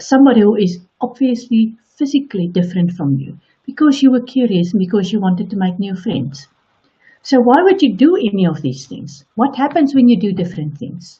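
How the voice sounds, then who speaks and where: A woman talks at a fairly quick pace in a fairly high, somewhat breathy voice with very wide pitch swings. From South Africa. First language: Afrikaans. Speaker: online coach. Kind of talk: motivational talk.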